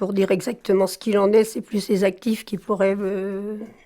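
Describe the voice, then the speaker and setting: The speaker is a woman whose voice sits at medium pitch. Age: 70s. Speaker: retired trade unionist, former garment worker. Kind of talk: interview, oral history. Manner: halting, many fillers.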